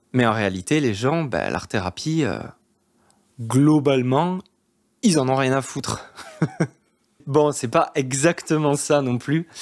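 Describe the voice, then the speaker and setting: In a southwest French accent, a man speaks at a fairly high pitch. His pace is very slow, with long, frequent pauses. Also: ordinary pitch variation. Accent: southwest French accent, kept. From southwest France. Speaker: art therapist and YouTuber. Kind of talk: casual monologue to camera. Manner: hesitant, many fillers.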